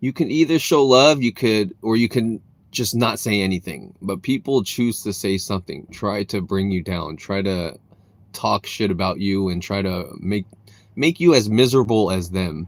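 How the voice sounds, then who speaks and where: A man with an ordinary speaking voice and an American accent, fairly low in pitch, with lively intonation at a moderate pace, in a very clean recording with a silent background. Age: 30s. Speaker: streamer, content creator. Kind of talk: live stream chat. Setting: live stream. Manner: casual, filler-heavy.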